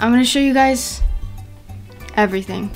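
Music plays faintly behind the speaker. She is a woman. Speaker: vlogger. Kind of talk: casual vlog chat. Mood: upbeat, playful. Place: home room. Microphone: phone near.

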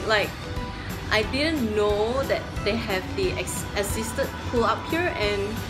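A woman speaking at a very slow pace over clear background music. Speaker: fitness vlogger. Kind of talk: casual vlog chat. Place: gym. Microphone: phone near.

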